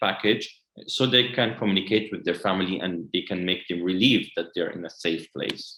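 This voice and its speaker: This man speaks with an Arabic accent. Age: 20s. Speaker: educational consultant. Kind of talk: webinar presentation. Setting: online webinar.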